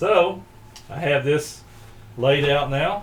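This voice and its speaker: A man talks at a fairly slow pace with ordinary pitch variation. It is a plain, everyday voice. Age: 60s. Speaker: woodworking hobbyist and lawn care business owner. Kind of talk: tutorial. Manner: casual, relaxed.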